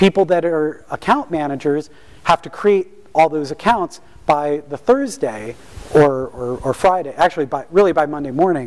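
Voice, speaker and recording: Speaking in a normal speaking voice, a man with a fairly high pitch and ordinary pitch variation keeps a moderate pace while his loudness swings widely. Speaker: system administrator, author and speaker. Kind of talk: talk to an audience. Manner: many fillers (um, uh).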